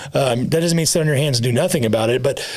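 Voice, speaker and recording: A man talks with a somewhat breathy quality. His pitch varies an ordinary amount. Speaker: title company owner. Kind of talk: casual chat. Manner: halting.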